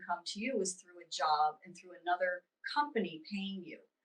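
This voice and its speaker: A woman's unremarkable speaking voice with an American accent, medium in pitch, lively in intonation, at a fairly quick pace. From US East Coast. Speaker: spiritual teacher and intuitive reader. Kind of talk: interview.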